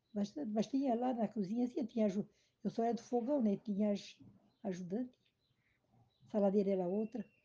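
A woman's fairly high voice has a dark, mellow tone and sounds somewhat breathy. Her pitch varies an ordinary amount, and she pauses often and at length. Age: 70s. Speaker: retired cook. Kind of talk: family interview. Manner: halting.

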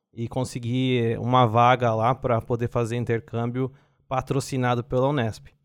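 A plain, everyday voice speaks at a moderate pace over a quiet background. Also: man. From Brazil, São Paulo (East Zone). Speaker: biotechnology researcher. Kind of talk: casual interview.

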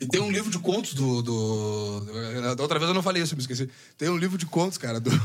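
Here a man speaks at a medium pitch. His pitch swings very wide. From southern Rio Grande do Sul, Brazil. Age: 30s. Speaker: bass player. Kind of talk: casual chat. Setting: studio. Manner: halting.

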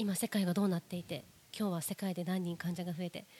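A woman speaks fairly quickly at a medium pitch, somewhat breathy and dark and mellow in tone, with fairly even intonation. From Ise, Mie, Japan. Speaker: social insurance labor consultant. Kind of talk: casual chat.

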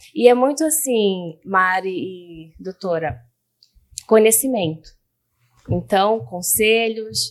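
A woman talks at a very slow pace. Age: 30s. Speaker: communications analyst and patient. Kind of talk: personal testimony. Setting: studio.

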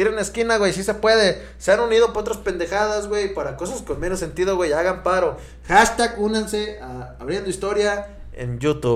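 Speaking at a moderate pace with hardly any pauses, a man with a Mexican accent uses an animated tone. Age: 20s. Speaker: podcast host. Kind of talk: casual chat.

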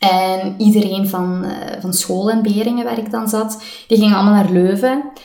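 A woman's medium-pitched voice in a Limburg accent, moderately paced and fairly even in intonation, with audible room echo and noticeable background noise. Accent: Limburg Flemish. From Belgian Limburg (Riemst, Beverlo). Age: 30s. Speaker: coach, podcast co-host. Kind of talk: casual interview chat.

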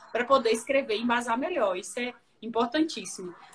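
Fairly quick speech from a woman, with noticeable background noise behind it. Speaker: journalist and interview host. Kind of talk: casual interview on a live stream. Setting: Instagram live video call.

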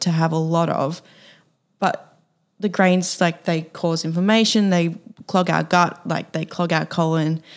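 A woman speaks at a moderate pace with long, frequent pauses. Her fairly low voice stays monotone and flat. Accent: Australian. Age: 20s. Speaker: podcast co-host. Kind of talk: casual chat.

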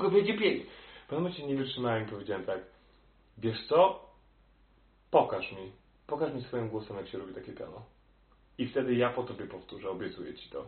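Amid audible room echo, a man talks at a very fast pace with long, frequent pauses and big swings in loudness. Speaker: opera singer. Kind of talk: interview. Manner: halting.

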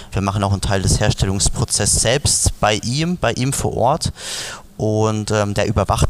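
A man speaks at a moderate pace in a fairly low pitch, with noticeable background noise behind him. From Palatinate, Germany. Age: 20s. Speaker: beverage brand founder. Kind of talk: interview.

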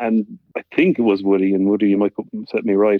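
A man talks at a very fast pace in an Irish accent. His voice is fairly low, with monotone, flat intonation. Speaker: former rugby player. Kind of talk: casual chat.

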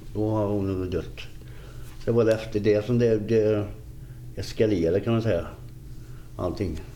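A man with a dark, mellow, fairly low voice speaks at a moderate pace with fairly even intonation and long, frequent pauses. Room echo can be heard. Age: 50s. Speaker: recovering addict sharing life story. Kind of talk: interview testimony.

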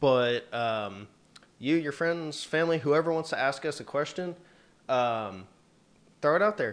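A man talks in an ordinary speaking voice at a medium pitch, with ordinary pitch variation. The background is quiet. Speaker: podcast co-host. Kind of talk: casual chat.

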